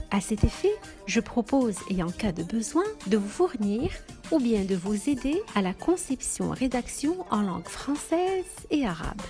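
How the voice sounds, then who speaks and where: Over music in the background, a woman speaks at a fairly slow pace with very wide pitch swings. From Morocco. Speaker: voice actor. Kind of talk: self-presentation voice demo.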